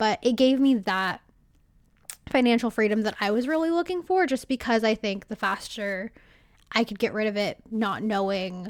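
In an American accent, the speaker uses an ordinary speaking voice with lively intonation at a moderate pace. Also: woman. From California. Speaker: podcaster. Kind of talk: casual interview chat. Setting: remote call.

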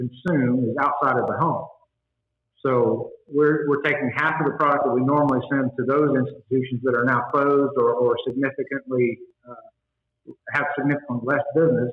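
A man with an American accent, a normal speaking voice, fairly high pitch, and a moderate pace. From Texas Panhandle (Spearman). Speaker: congressional candidate. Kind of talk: interview.

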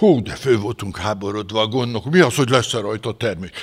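Speaking fairly quickly, a man lets his pitch swing very widely. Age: 70s. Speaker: retired pastor. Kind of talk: sermon. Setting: church. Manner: animated.

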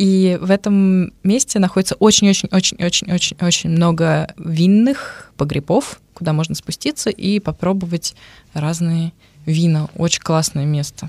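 A woman with a fairly low pitch talks in a normal speaking voice at a moderate pace. Her pitch variation is ordinary, and the sound is dry and close with no echo. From Russia, Moscow. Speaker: radio presenter. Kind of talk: casual chat. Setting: studio.

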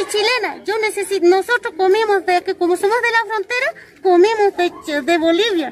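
Over noticeable background noise, a woman speaks at an extremely high pitch with ordinary pitch variation. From northern Chile altiplano, Colchane. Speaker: local resident interviewed. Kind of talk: testimony. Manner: halting.

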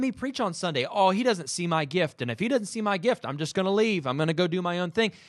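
Here a man speaks in an animated tone, with a high pitch and lively intonation. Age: 30s. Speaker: podcast host and minister. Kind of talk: casual chat.

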